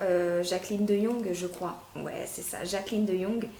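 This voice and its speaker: A woman talks at a very slow pace over noticeable background noise, with audible room echo. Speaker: fashion unboxing youtuber. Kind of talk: casual product unboxing review. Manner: hesitant, many fillers.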